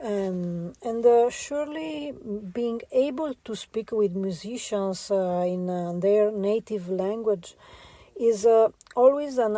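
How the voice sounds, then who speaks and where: Speaking very slowly in an Italian accent, the voice has a dark, mellow tone and lively intonation. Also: woman. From Italy. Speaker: visual artist. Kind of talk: interview. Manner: halting, many fillers.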